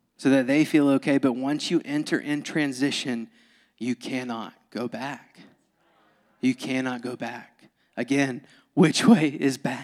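A man's medium-pitched voice with a Southern US accent at a fairly slow pace. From US South. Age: 20s. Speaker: pastor. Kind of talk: sermon. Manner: animated.

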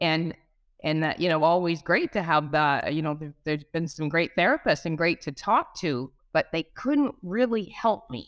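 This woman has a normal speaking voice with a fairly low pitch. Her pitch varies in an ordinary way. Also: moderate pace. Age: 50s. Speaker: former mental health client. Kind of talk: testimony.

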